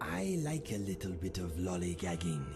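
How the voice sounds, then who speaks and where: Over loud background noise, a man uses a put-on character voice that is very deep and low, at a moderate pace. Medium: game stream. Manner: dry, deadpan, matter-of-fact.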